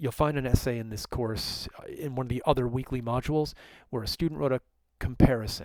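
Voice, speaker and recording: In a very clean recording with a silent background and a dry, close sound with no echo, a man speaks in an unremarkable speaking voice at medium pitch, with ordinary pitch variation. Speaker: college writing instructor. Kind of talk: lecture. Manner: casual.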